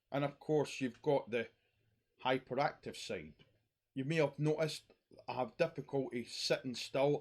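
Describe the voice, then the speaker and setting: A man with a Scottish accent speaks at a moderate pace and a fairly high pitch. The recording is very clean, with a silent background. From Scotland. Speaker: YouTuber talking about mental health. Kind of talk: personal monologue vlog.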